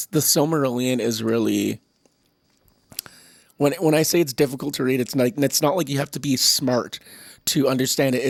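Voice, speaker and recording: A man puts on a raspy character voice at medium pitch with fairly even intonation. He keeps a moderate pace but leaves long, frequent pauses. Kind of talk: casual, opinionated, some swearing.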